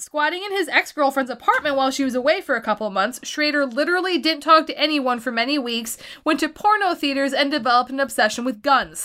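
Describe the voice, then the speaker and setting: Speaking at a very fast pace, a woman projects a raised, high-pitched voice with a bright, sharp tone and lively intonation. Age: 20s. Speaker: podcast co-host. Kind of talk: reading aloud; casual chat.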